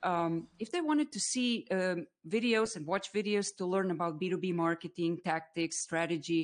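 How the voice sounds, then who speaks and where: A woman with a Croatian accent at a medium pitch, ordinary pitch variation, a moderate pace and hardly any pauses. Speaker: B2B marketer and live streamer. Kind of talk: casual interview on a live stream. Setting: online live stream.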